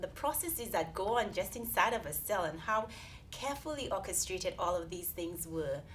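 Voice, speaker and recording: In a Saint Lucian accent, a woman speaks at a medium pitch with audible room echo. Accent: Caribbean (Saint Lucian). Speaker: research scientist. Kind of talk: interview. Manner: halting, many fillers.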